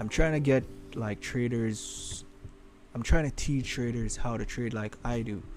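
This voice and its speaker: Music plays in the background and audible room echo surrounds a man speaking with a Caribbean accent. His pitch is medium, his intonation fairly even, and his pace fairly slow. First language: Creole. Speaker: forex trading streamer. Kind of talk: live trading stream commentary. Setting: live stream. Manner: halting.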